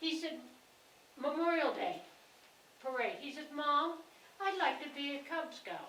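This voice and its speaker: A woman speaks with a high pitch in a raised, projected voice, her tone bright and sharp, at a fairly slow pace with long, frequent pauses and fairly even intonation, and room echo is audible. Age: 80s+. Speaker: town resident speaking at public meeting. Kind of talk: public meeting discussion.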